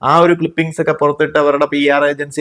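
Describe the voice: At a fairly quick pace, a man is speaking.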